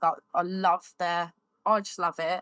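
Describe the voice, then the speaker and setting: In a very clean recording with a silent background, a woman speaks at a fairly low pitch with monotone, flat intonation, the sound dry and close with no echo. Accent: southern English. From Surrey, England. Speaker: fibrous plasterer. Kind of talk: casual chat. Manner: loud.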